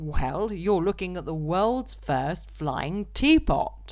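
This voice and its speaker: In a put-on character voice, a woman booms out her words at a very slow pace. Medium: read story. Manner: loud and hearty.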